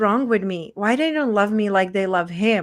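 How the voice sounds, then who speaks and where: A speaker with a Czech accent talks at a moderate pace with ordinary pitch variation. The recording is very clean, with a silent background. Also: woman. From Czech Republic, small town. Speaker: women's transformation coach. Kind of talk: interview, personal story.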